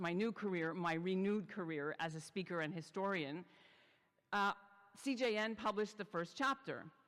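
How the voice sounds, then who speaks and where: This woman has an unremarkable speaking voice, medium in pitch and moderate in pace. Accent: Canadian. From Canada, Montreal. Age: 60s. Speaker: journalist and podcast host. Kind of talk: talk to a congregation. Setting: synagogue. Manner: chatty, conversational.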